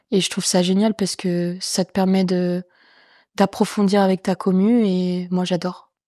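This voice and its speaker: On a very clean recording with a silent background and a dry, close sound with no echo, a woman speaks at a fairly slow pace in a dark, mellow tone at medium pitch, with monotone, flat intonation and very even loudness. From France, Champagne-Ardenne. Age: 20s. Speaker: comedian and streamer. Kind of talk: casual chat. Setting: in an apartment. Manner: talkative.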